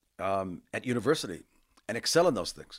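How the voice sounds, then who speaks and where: Over a silent background in a very clean recording, a man with an American accent and a medium-pitched voice speaks at a fairly quick pace. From US West Coast, Los Angeles area. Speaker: university administrator. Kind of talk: interview.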